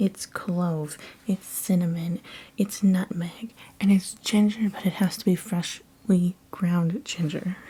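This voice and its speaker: A soft-spoken, somewhat breathy woman's voice, dark and mellow in tone, at a very slow pace with fairly even intonation. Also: medium pitch for a woman. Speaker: ASMR artist. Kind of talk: ASMR casual ramble.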